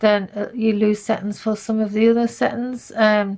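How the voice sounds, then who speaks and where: Soft-spoken and monotone with flat intonation, a woman talks at a fairly high pitch in a very clean recording with a silent background. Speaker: photography tutorial creator. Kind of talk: tutorial.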